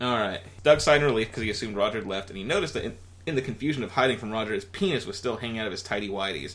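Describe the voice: A text is being read out loud. The reading is plain.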